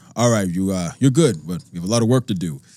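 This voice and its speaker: A man uses a put-on character voice, booming and very deep and low in pitch. He talks very fast on a very clean recording with a silent background. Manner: gruff, commanding.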